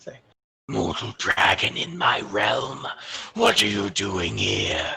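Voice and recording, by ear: Using a put-on character voice, a man speaks raspy and fairly low in pitch at a very slow pace.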